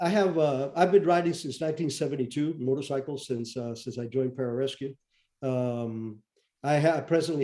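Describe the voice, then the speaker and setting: Moderate pace from a man with a Spanish accent. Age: 70s. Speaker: retired intelligence officer and author. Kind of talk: interview. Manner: halting, many fillers.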